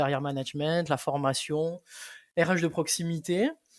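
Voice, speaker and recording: A man with a Toulouse accent speaks in a monotone, flat intonation on a very clean recording with a silent background. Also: dry, close sound with no echo. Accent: Toulouse accent, persistent. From southern France, Toulouse; teen years on Réunion. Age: 30s. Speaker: entrepreneur, relocation consultant. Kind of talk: podcast interview. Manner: hesitant, many fillers.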